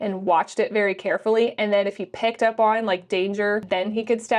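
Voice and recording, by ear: The reading aloud comes in a natural voice, and the intonation stays fairly even.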